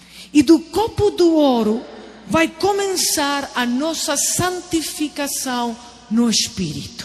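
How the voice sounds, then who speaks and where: A woman's high, lively voice at a very slow pace, with music in the background. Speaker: preacher. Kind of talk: sermon.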